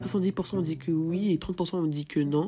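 Music in the background behind a woman's fairly low voice with ordinary pitch variation. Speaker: podcaster. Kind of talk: solo podcast monologue. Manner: fast, sometimes poorly articulated.

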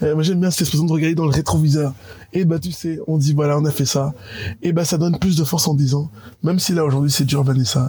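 A very fast, somewhat breathy male voice, fairly high in pitch, with a dark, mellow tone. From Cameroon (Yaoundé). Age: 30s. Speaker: business network spokesman. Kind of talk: interview.

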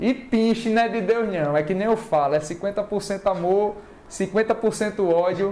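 A man speaks with a high voice and ordinary pitch variation. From Northeast Brazil (Alagoas, Maceió; also Pernambuco, Bahia). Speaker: real estate agent and video creator. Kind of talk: casual chat. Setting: online live stream.

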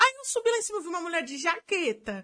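Raised and projected, a woman's voice rings bright and sharp at an extremely high pitch with very wide pitch swings. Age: 20s. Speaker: video editor. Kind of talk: casual chat.

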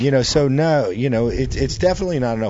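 A man's medium-pitched voice with very wide pitch swings at a fairly quick pace. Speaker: show co-host. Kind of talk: casual chat.

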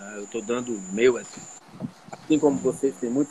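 There is noticeable background noise as a man talks at a fairly quick pace. His pitch sits in the medium range and varies in an ordinary way. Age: 50s. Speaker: physician and triathlete. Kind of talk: casual chat.

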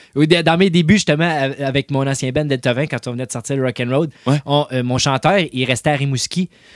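In an ordinary speaking voice, a man talks at a moderate pace with a fairly high pitch and ordinary pitch variation. The sound is dry and close, with no echo. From Quebec, Salaberry-de-Valleyfield. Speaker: DJ and rock musician. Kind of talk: casual chat.

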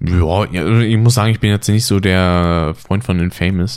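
Speaking at a moderate pace, a man has an ordinary speaking voice, fairly low in pitch, with ordinary pitch variation. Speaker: podcast host. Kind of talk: casual chat. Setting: home recording, sitting side by side. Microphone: poor audio quality, less noise removal.

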